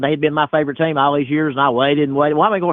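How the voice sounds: A man speaks at a very fast pace in a fairly high pitch, with little pitch movement and a dry, close sound that has no echo.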